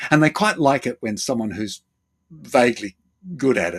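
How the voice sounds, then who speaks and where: Recorded with a dry, close sound and no echo, a man speaks with an Australian accent. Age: 70s. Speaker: therapist and former actor. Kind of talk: interview. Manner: halting.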